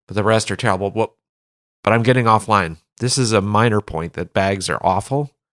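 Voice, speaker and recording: In a very clean recording with a silent background and a dry, close sound with no echo, an ordinary speaking voice moves at a fairly quick pace with ordinary pitch variation. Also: man, fairly low pitch for a man. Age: 40s. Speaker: golf caddie and podcast co-host. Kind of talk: casual chat.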